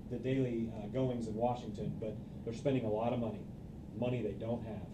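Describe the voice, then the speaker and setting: A man with an American accent speaks at a very fast pace, with a medium pitch and a monotone, flat intonation. Noticeable background noise and audible room echo fill the recording. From rural Kansas. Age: 30s. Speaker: political candidate. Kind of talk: campaign speech.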